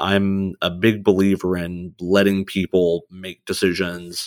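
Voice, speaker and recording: A man's very deep, low pitch and fairly even intonation, dry and close with no echo, in a very clean recording with a silent background. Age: 30s. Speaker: oil and gas sales executive. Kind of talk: casual interview.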